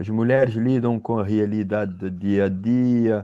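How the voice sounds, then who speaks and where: In a Cape Verdean accent, a man talks at a fairly slow pace in a dark, mellow tone over a quiet background. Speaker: capoeira teacher and professor. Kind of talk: podcast interview. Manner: halting, with false starts.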